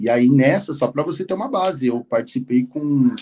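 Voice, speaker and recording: Lively intonation carries a man's medium-pitched voice, which has a dark, mellow tone. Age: 30s. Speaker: former truck driver turned bank employee. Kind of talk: interview.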